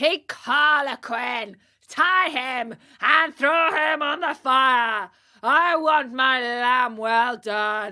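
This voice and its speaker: Shouting in a put-on character voice, a female-sounding speaker goes very slowly at a high pitch. The recording is very clean, with a silent background. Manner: yelling, bossy.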